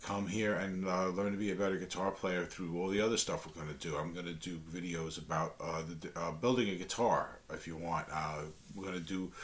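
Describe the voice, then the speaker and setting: A strong New York accent with fairly even intonation and audible room echo. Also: man. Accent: thick New York. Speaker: guitar teacher, channel host. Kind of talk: tutorial talk to camera. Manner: halting, many fillers and restarts; casual, friendly.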